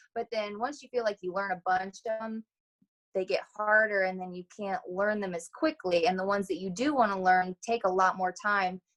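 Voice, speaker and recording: Heard in a dry, close recording with no echo, a woman with a Midwestern accent speaks at a moderate pace with ordinary pitch variation. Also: medium pitch for a woman. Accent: American Midwest. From Ohio, USA. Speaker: hoop dancer. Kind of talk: interview answer.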